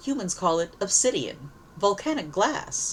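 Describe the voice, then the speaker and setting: This put-on character voice sounds female, sits at a fairly high pitch with very wide pitch swings, and moves at a moderate pace over clear background noise. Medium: read story. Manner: casual, offhand.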